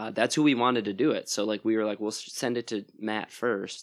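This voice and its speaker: With an American accent and a medium pitch, a man talks at a fairly quick pace in an unremarkable speaking voice over a quiet background. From Wisconsin, US (Plymouth, near Sheboygan). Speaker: musician and record label owner. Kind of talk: casual interview chat. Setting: at his house.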